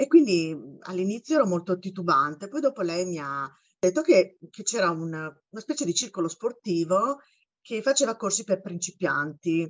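Lively intonation runs through a woman's normal speaking voice. She speaks at a moderate pace with a medium pitch. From Italy, Bologna. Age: 50s. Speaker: university teacher and amateur runner. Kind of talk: casual interview.

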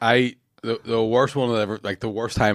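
On a very clean recording with a silent background, a man with a Northern Irish accent speaks at a moderate pace and a fairly low pitch. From Northern Ireland, Lurgan. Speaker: comedian. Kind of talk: casual chat.

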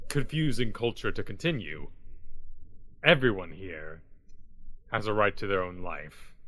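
A man puts on a character voice, pitched fairly low. He goes at a moderate pace with long, frequent pauses. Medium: actual play. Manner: formal, stiff diction.

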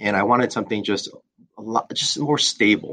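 A man talks fairly quickly in an unremarkable speaking voice with ordinary pitch variation. The background is quiet. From Southern California (born in Korea). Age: 40s. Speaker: insurance agency owner. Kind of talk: interview.

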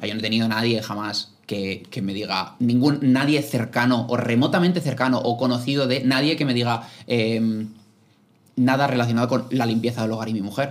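A man with a plain, everyday voice at a moderate pace, on a very clean recording with a silent background. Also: medium pitch for a man, fairly even intonation. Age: 20s. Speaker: podcaster. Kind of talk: casual chat.

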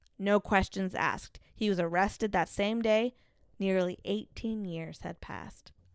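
A woman's plain, everyday voice, medium in pitch, with fairly even intonation at a fairly slow pace on a very clean recording with a silent background. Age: 30s. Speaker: podcast co-host. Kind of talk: casual chat with true crime storytelling.

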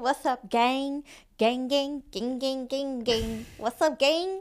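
A female-sounding voice uses a put-on character voice pitched high for a woman. It moves at a very slow pace in a very clean recording with a silent background. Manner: casual, repetitive, cheery.

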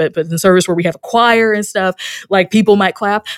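Recorded with a dry, close sound with no echo, a woman is speaking. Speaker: minister and author. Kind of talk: interview conversation. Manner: halting, many fillers and repetitions.

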